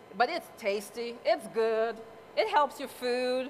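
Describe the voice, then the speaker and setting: There is noticeable background noise as a woman talks with an American accent. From US Virgin Islands, Saint Croix. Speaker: cooking contestant. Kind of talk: cooking demonstration. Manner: chatty, animated.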